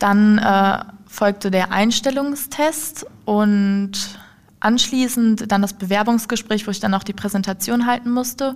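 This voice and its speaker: A somewhat breathy woman's voice, fairly high in pitch, with fairly even intonation and a very slow pace. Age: 20s. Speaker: apprentice in dialogue marketing. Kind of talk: casual interview. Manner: halting.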